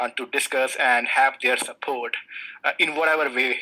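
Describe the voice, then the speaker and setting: Monotone and flat, a man's medium-pitched voice proceeds at a moderate pace. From India, small village. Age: 20s. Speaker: sustainability analyst. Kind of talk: interview. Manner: hesitant, many fillers.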